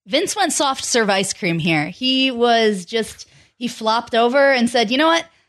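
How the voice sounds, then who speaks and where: In a normal speaking voice, a woman with a fairly high pitch talks at a fairly slow pace with lively intonation and very even loudness. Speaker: podcast co-host. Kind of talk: casual chat.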